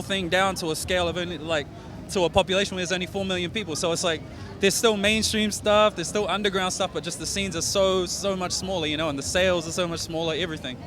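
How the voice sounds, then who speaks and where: Very fast speech from a high-pitched man with a New Zealand accent and fairly even intonation, with music in the background. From New Zealand, South Auckland. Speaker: rapper. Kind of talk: interview. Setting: festival interview. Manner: casual, filler-heavy.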